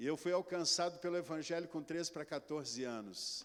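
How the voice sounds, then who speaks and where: A man with a rural São Paulo accent talks at a fairly quick pace. His pitch is fairly high. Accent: rural São Paulo caipira. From interior of São Paulo, Brazil. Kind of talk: preacher's testimony.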